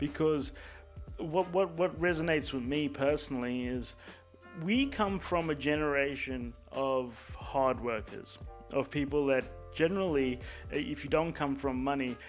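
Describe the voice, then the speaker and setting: With music in the background, a man speaks at a fairly slow pace in a fairly high pitch, with ordinary pitch variation. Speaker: podcast host. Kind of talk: podcast interview, host side.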